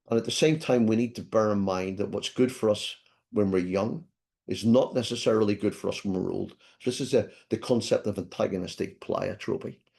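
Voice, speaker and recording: A man with a Scottish accent, medium-pitched with a dark, mellow tone and ordinary pitch variation, at a fairly quick pace over a quiet background. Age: 60s. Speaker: professor. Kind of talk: lecture.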